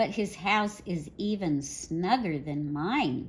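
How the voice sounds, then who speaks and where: In a put-on, female-sounding character voice at a medium pitch, the speaker moves at a fairly slow pace over light background noise. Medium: read story.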